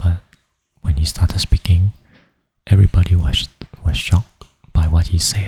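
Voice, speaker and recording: Soft-spoken and somewhat breathy, a man with a non-native accent talks at a moderate pace with long, frequent pauses, his very deep, low voice dark and mellow in tone, with fairly even intonation and a dry, close sound with no echo. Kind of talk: ASMR sleep storytelling. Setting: home studio, USB microphone.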